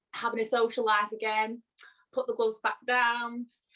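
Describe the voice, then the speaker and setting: A woman speaks in a Lancashire accent. Her pitch is fairly high. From northern England, Blackpool, Lancashire. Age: 20s. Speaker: pro boxer. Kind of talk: interview.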